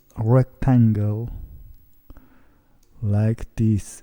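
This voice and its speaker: With a non-native accent, a man speaks at a very slow pace in a dark, mellow tone, the sound dry and close with no echo. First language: not English. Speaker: CNC hobbyist woodworker. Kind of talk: software tutorial. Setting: home. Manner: halting.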